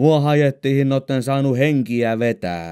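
A man speaks in a Southern Ostrobothnian accent. His tone is dark and mellow. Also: dry, close sound with no echo. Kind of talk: audiobook reading of humorous dialect stories.

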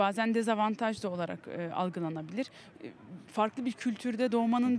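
A woman speaks over light background noise, her voice sounding dry with no echo. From Belgium. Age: 20s. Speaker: community volunteer; interviewee. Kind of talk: street interview. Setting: outdoors in a city square. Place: open country. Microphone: handheld.

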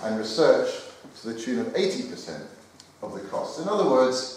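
A man's voice comes through strong room echo with light background noise. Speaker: speaker. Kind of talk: conference speech. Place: hall. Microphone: handheld.

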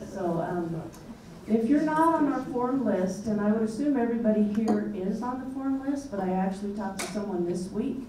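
Noticeable background noise and audible room echo surround a woman speaking. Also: moderate pace. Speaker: host. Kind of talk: event introduction speech. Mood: light, humorous.

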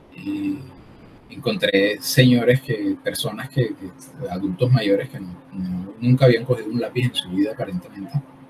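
Loudness swings widely and pitch varies in an ordinary way. Background noise is noticeable. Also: man, fairly slow pace. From Colombian Caribbean coast (Barranquilla). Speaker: artist and workshop leader. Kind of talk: interview. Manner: halting, many fillers. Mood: calm, thoughtful. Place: home room.

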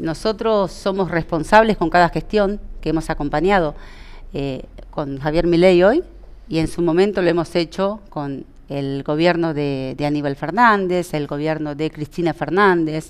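A woman's fairly low pitch at a fairly slow pace, with ordinary pitch variation. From Entre Ríos, Argentina. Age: 40s. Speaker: local party politician. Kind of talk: interview. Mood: calm, earnest. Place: studio.

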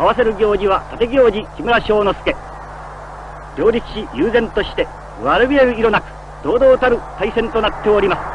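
A high-pitched male voice at a moderate pace, with ordinary pitch variation and noticeable background noise. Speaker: radio sports announcer. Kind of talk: live sumo bout commentary. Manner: grand, dramatic.

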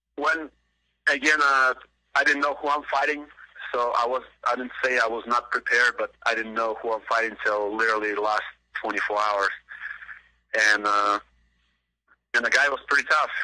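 Pausing long and often, a man with a bright, sharp tone speaks at a moderate pace and medium pitch with fairly even intonation. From Belarus. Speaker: mixed martial arts fighter. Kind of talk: interview. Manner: halting.

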